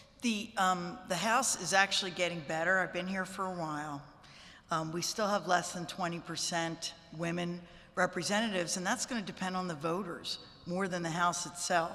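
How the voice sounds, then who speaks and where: Her fairly low voice carries fairly even intonation, and the room gives off audible echo. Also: moderate pace. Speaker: state legislator. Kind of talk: press conference remarks.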